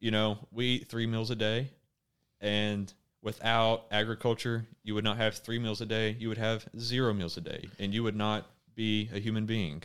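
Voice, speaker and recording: With an Arkansas accent, a man speaks at a moderate pace. His pitch is fairly low and his intonation monotone and flat. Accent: US Southern (Arkansas). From Arkansas (Conway, Faulkner County). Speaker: university student. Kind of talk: casual chat.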